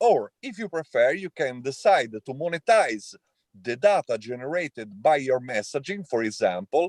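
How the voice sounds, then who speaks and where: In an Italian accent, a man with fairly high pitch speaks at a moderate pace, his pitch swinging very widely in a dry, close sound with no echo. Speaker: tech entrepreneur. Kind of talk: panel discussion. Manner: halting, many fillers.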